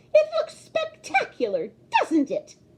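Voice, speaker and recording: A woman's put-on character voice, extremely high and squeaky, at a fairly slow pace. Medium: read story. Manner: bossy, prim.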